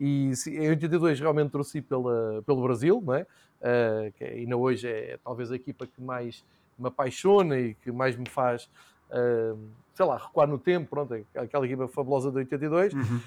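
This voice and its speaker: With an unremarkable speaking voice, a man talks at medium pitch and a moderate pace, his pitch varying in an ordinary way. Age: 40s. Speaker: football commentator and podcaster. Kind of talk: casual chat.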